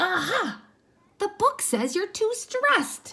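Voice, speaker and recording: A put-on, squeaky character voice at an extremely high pitch, swinging very widely, delivered at a fairly slow pace. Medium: read story. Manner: earnest, nervous.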